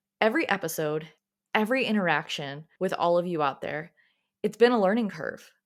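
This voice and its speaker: A woman with an American accent at medium pitch and a fairly quick pace, with ordinary pitch variation, on a very clean recording with a silent background. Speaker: podcast host, self-love coach. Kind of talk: motivational podcast monologue. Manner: sometimes awkward cadence.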